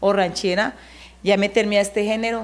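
A woman is speaking. Her pace is moderate. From Colombia, Caldas. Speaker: singer. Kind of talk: interview. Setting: studio. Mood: relaxed, friendly. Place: empty room. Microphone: handheld.

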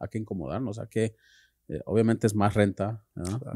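A man speaks at a moderate pace and fairly low pitch, his tone dark and mellow and his intonation fairly even, in a dry sound with no echo over a quiet background. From California. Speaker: podcast co-host, tattoo artist; podcast co-host. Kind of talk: casual interview. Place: studio. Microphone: studio mic.

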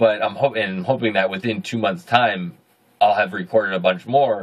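A man's fairly low voice with a slightly husky edge, ordinary pitch variation and a moderate pace

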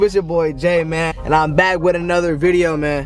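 A man speaks at a high pitch, and the sound is dry with no echo. Faint music plays in the background. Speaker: vlogger host. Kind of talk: casual vlog chat. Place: car. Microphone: camera far.

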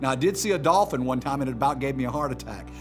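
Clear music plays behind a man as he talks. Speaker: pastor. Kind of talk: sermon. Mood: warm, humorous storytelling. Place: studio.

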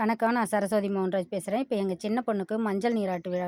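With a dark, mellow tone and fairly even intonation, a woman speaks at medium pitch in a dry, close sound with no echo. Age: 50s. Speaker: homemaker vlogger. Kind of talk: casual video vlog narration.

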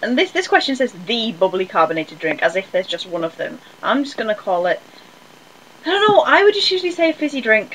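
A woman talks very fast in a high voice with very wide pitch swings. Light background noise is present. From Northern England. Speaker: vlogger. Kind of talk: casual talk to camera. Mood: relaxed, chatty. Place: home room. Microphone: webcam.

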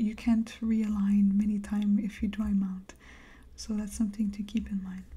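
Soft-spoken and somewhat breathy, a woman has a gentle, dark, mellow tone at medium pitch, with monotone, flat intonation and a moderate pace. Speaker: crafter. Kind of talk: casual talk to camera while crafting. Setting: studio, close microphone. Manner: soft-spoken, gentle.

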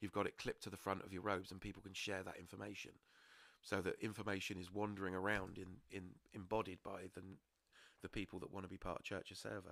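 The speaker talks at a very fast pace. The intonation is monotone and flat. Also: man, very deep, low pitch for a man. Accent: British. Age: 40s. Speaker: podcast host. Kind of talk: casual chat.

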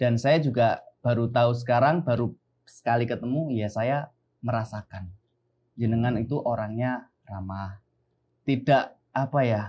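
With ordinary pitch variation, this man talks at a fairly slow pace. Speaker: podcast host. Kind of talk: casual interview. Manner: nervous, polite. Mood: friendly, smiling. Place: studio.

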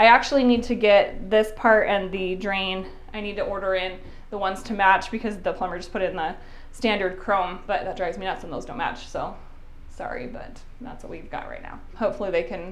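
Her loudness swings widely as this woman talks at a fairly quick pace with ordinary pitch variation. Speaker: home renovation vlogger. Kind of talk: casual vlog chat. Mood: upbeat, light self-laughter. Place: bathroom. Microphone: lapel.

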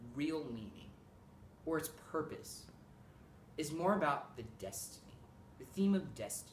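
A man speaks at a moderate pace with vocal fry. Light background noise and audible room echo sit behind him. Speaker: presenter. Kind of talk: playful mock lecture. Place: home room. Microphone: camera far.

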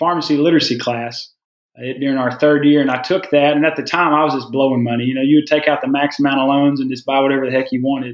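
A man's fairly high voice with a Southern US accent and fairly even intonation. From US South. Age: 30s. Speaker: pharmacist. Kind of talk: casual chat.

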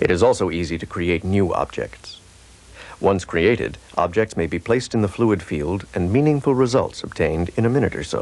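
Noticeable background noise sits behind a man with a fairly low pitch. He speaks at a moderate pace with lively intonation. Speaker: promotional film narrator. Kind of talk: scripted corporate demo narration, like a vintage educational film. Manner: formal, measured, even-paced and authoritative; dry, matter-of-fact technical delivery.

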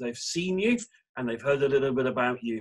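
Against a quiet background, a man speaks with an English accent. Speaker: church minister. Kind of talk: casual chat and prayer. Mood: warm, cheerful. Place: home room. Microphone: video call.

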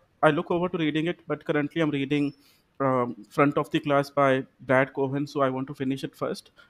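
The speech moves at a fairly quick pace in a monotone, flat intonation. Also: man, fairly high pitch for a man. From India, Punjab (Amritsar); Punjab, India. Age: 20s. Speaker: English teacher, exam candidate; English teacher, candidate. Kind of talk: mock speaking exam. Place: home room. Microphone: video call.

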